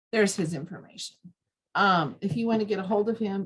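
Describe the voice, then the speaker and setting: Somewhat breathy and at medium pitch, a woman talks at a fairly quick pace. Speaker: extension educator and dietitian. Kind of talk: training presentation.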